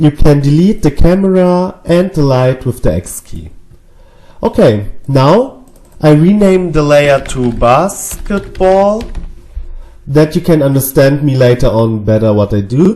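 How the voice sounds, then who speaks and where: Speech comes at a fairly slow pace in a German accent, with music playing in the background. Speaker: 3D animation tutorial creator. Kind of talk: tutorial. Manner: hesitant, with fillers.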